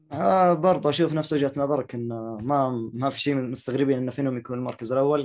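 A normal speaking voice at a fairly quick pace, with fairly even intonation. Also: man. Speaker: podcast host. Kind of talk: casual chat. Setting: video call.

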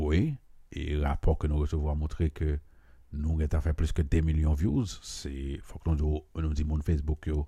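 In a Haitian accent, a man speaks at a very deep, low pitch in a dark, mellow tone. His pace is moderate. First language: Haitian Creole (speaking French). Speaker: podcast host. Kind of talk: monologue commentary. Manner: hesitant, many fillers.

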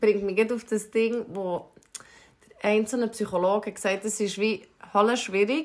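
With a Swiss accent, a woman speaks at a fairly high pitch and fairly even intonation. She leaves long, frequent pauses. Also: fairly slow pace. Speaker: podcast co-host. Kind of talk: casual chat.

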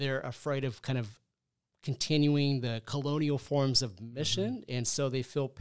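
In a plain, everyday voice, a man speaks at medium pitch and a moderate pace. The recording is very clean, with a silent background. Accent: American. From Southern California. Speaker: podcast host and graduate program director. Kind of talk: interview. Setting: studio.

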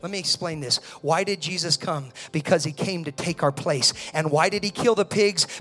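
This man's voice sits high, with ordinary pitch variation, over noticeable background noise. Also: moderate pace. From Italian-American home. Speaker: pastor. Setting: church sanctuary with live congregation. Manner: earnest, preacherly cadence with building repetition (whether it be with...).

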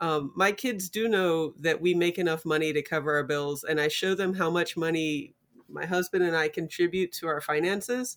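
A woman's fairly low voice, an ordinary speaking voice, at a moderate pace with hardly any pauses, on a very clean recording with a silent background. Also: ordinary pitch variation. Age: 40s. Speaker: lawyer. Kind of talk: casual chat.

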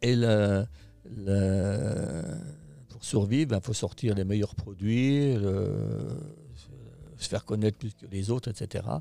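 On a very clean recording with a silent background, a man speaks very slowly in a dark, mellow tone, with lively intonation, big swings in loudness and long, frequent pauses. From France, Haute-Savoie. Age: 60s. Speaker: company founder and boss. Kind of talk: interview. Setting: company headquarters. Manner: hesitant, many fillers.

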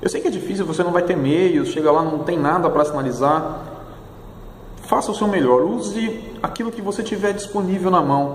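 Lively intonation marks this man's high-pitched voice at a moderate pace. Background noise is noticeable. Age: 40s. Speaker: military police officer and motorcyclist. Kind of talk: safety tips talk.

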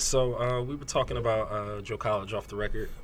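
Audible room echo surrounds a man with a New Jersey accent who speaks at a moderate pace in a fairly low voice with ordinary pitch variation. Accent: New Jersey American English. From Neptune, New Jersey. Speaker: podcast host and music writer. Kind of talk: casual interview.

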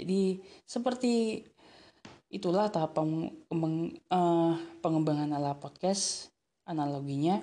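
Over a quiet background, a woman speaks very slowly with a fairly low pitch and a dark, mellow tone. Her loudness stays very even, and her pitch varies in an ordinary way. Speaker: solo podcaster. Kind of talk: casual monologue. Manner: hesitant, many fillers.

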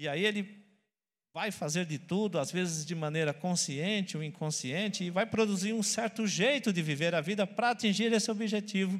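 In a very clean recording with a silent background, a man with a high pitch talks at a moderate pace using lively intonation. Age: 40s. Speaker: pastor. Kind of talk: sermon.

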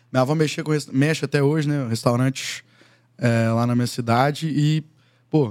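In a very clean recording with a silent background, a man speaks at a very fast pace. His pitch is fairly high and his intonation fairly even. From Minas Gerais interior, Brazil. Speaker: singer-songwriter. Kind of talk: casual chat.

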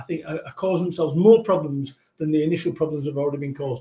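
Here a man speaks in a Mancunian accent with a dark, mellow tone. His pace is fairly quick. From Manchester, northern England. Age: 40s. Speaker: motivational business speaker. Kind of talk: casual chat. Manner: energetic.

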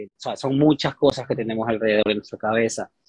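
The sound is dry and close with no echo as a man speaks in a monotone, flat intonation. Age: 30s. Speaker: fitness coach. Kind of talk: interview.

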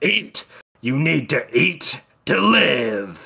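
Putting on a character voice, a man speaks at a medium pitch with a raspy sound. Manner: commanding, urgent.

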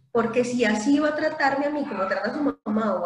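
A woman talks at a moderate pace with lively intonation. Audible room echo surrounds her voice. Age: 30s. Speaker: English instructor. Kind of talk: casual chat.

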